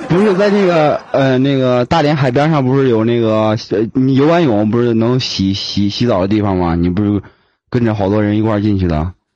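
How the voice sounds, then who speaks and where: Over a quiet background, a man with a dark, mellow tone and medium pitch talks at a fairly quick pace with very even loudness. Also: lively intonation. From Beijing. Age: 20s. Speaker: fan calling in to a live stream. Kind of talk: casual chat. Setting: voice call. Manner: few words, laconic.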